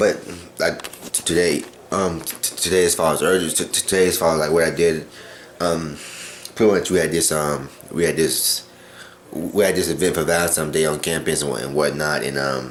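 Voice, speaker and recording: A man with a very deep, low pitch talks at a fairly quick pace with long, frequent pauses and fairly even intonation, over noticeable background noise and audible room echo. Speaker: vlogger. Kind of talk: personal video diary. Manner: fast; halting, many repetitions.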